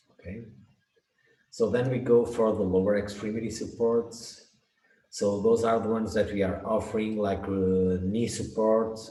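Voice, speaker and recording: A man speaks at a fairly slow pace with monotone, flat intonation amid audible room echo. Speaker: product specialist presenter. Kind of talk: webinar presentation.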